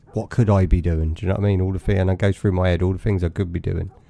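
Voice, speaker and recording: A man's very deep, low pitch with a dark, mellow tone. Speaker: gaming streamer. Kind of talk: live game commentary.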